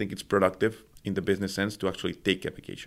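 The recording is very clean with a silent background. A man speaks at a fairly low pitch. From Mexico City, Mexico. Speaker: tea entrepreneur. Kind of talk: interview. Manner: halting, frequent word repetitions.

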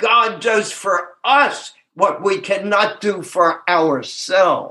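A man projects a raised voice with a bright, sharp tone at a high pitch. He speaks at a very slow pace with hardly any pauses and very even loudness. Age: 80s+. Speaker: twelve-step speaker and sponsor. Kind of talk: recovery talk.

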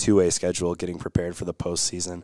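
Speaking at a very fast pace, a man with an Upper Midwest accent has a very deep, low pitch and a dark, mellow tone, on a very clean recording with a silent background and no noise. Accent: Upper Midwest American. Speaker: podcast co-host covering girls high school hockey. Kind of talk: casual chat. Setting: home studio.

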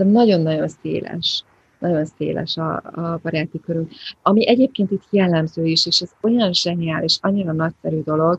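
A somewhat breathy voice in a dry, close sound with no echo. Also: woman. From Hungary, Budapest. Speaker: Hungarian emigrant, volunteer shop worker and community school teacher. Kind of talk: casual interview chat. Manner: repeats words, hesitant.

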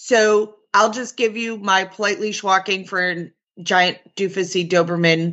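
A woman uses an ordinary speaking voice at a fairly slow pace with ordinary pitch variation. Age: 50s. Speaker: dog trainer and podcast host. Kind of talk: casual chat.

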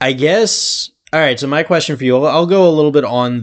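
The speaker is a man talking at a moderate pace. His pitch swings very widely. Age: 20s. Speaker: comic book podcaster. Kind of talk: casual chat.

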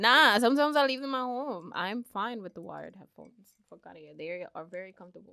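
At a very fast pace with hardly any pauses, a woman with a fairly high pitch and a bright, sharp tone speaks with lively intonation and big swings in loudness. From the Bronx, New York. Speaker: podcast co-host. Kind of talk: casual banter.

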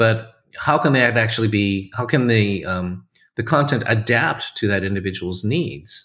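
At a fairly slow pace, a man with a West Coast accent speaks at a medium pitch in a bright, sharp tone, with ordinary pitch variation, on a very clean recording against a silent background. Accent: American West Coast. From US West Coast, California. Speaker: corporate learning executive. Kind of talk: podcast interview.

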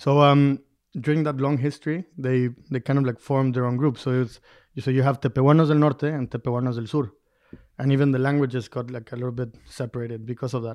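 In a Spanish accent, a man speaks very fast at a medium pitch with a monotone, flat intonation and a dry, close sound with no echo. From Durango, Mexico. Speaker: mezcal producer. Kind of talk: interview.

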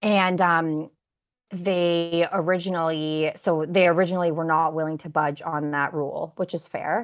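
A woman with a Canadian accent speaks at a moderate pace against a quiet background. Her fairly low voice stays monotone, with flat intonation. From Canada, Kitchener Ontario (born in Bosnia, moved at six). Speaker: customer experience director. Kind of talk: interview.

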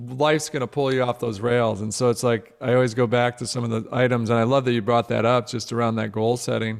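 A man with an American accent at a medium pitch and fairly quick pace, hardly any pauses, and music in the background. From US Midwest. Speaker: author and motivational speaker. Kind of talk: interview.

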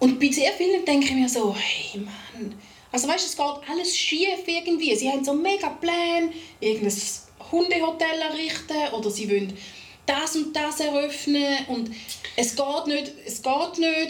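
A woman with a Swiss accent and a high pitch, with lively intonation at a moderate pace, plus noticeable background noise and audible room echo. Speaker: podcast co-host. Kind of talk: casual chat. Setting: studio recording with cameras.

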